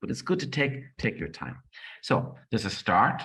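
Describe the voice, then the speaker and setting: A man speaks with an Irish accent. The recording is very clean, with a silent background. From Ireland. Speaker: project management trainer and author. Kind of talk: conference presentation. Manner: fast; animated.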